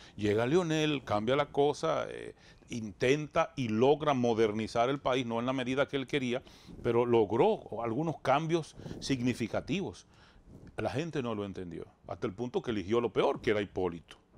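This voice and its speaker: A man talks with lively intonation, keeping a moderate pace. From Dominican Republic, rural Bánica; Dominican Republic. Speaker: radio and TV show host; radio, TV show host. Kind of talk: interview, political talk. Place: studio. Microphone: lapel.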